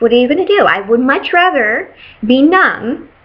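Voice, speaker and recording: Over noticeable background noise, a high-pitched woman talks at a fairly slow pace with lively intonation. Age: 30s. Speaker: patient sharing surgery experience. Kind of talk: casual talk to camera.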